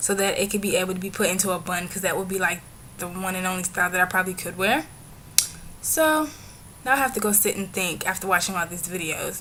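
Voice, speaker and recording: Against noticeable background noise, a woman talks at a very fast pace. Her pitch is medium. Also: ordinary pitch variation. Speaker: vlogger. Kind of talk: casual vlog monologue.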